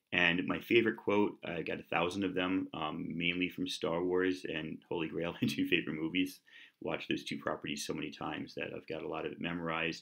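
A man speaks in a New York accent at a fairly quick pace. He leaves hardly any pauses, over a quiet background. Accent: American, New York. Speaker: YouTuber. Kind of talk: casual vlog. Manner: loud; fast talker. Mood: relaxed, friendly. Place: kitchen. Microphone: webcam.

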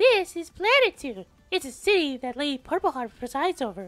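A high-pitched put-on character voice at a fairly quick pace, with very wide pitch swings

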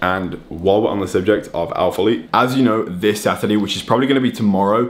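A man with an ordinary speaking voice and fairly low pitch talks at a fairly quick pace. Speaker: vlogger. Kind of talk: casual vlog chat. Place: kitchen. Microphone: phone near.

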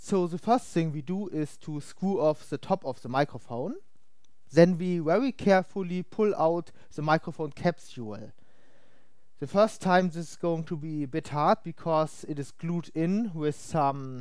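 The speech comes at a fairly slow pace, in a dry sound with no echo and a quiet background. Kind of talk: tutorial. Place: home room.

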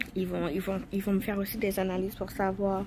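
Over noticeable background noise, a woman speaks in a dark, mellow tone that is somewhat breathy. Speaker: expectant mother vlogger. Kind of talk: casual vlog chat. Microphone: phone near.

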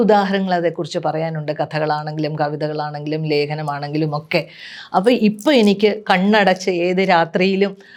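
A woman with a plain, everyday voice speaks at a fairly low pitch with ordinary pitch variation on a very clean recording with a silent background. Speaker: writer. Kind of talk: personal reminiscence.

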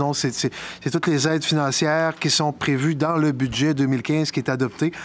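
Faint music in the background accompanies a man's speech. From Quebec. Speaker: mayor chairing a town council meeting. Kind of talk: council meeting proceedings. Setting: town hall council chamber. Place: meeting room. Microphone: podium.

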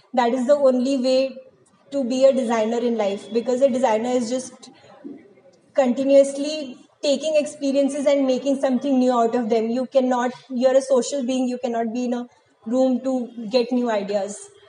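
Amid light background noise, a woman with an Indian accent speaks at a high pitch in a monotone, flat intonation. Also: moderate pace. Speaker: design student. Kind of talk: advice talk to camera. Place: classroom. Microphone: phone near.

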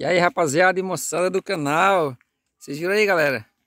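A man's voice with ordinary pitch variation, dry with no echo, against a quiet background. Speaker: fishing vlogger. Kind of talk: casual vlog chat. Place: waterside. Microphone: phone near.

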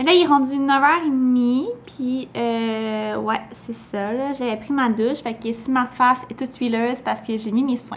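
High-pitched woman at a fairly slow pace, hardly any pauses, fairly even intonation and light background noise. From Quebec. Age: young. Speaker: beauty vlogger. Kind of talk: casual vlog. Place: kitchen. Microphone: phone near.

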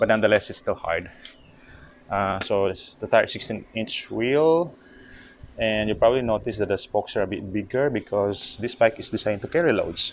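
A man speaks in a normal speaking voice at a fairly low pitch with ordinary variation. The sound is dry with no echo, over light background noise. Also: moderate pace. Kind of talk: casual walkthrough commentary. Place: garage. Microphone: phone near.

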